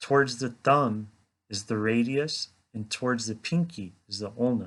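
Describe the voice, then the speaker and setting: A man speaks at medium pitch with ordinary pitch variation. The background is quiet. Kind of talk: educational explanation to camera. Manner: slow.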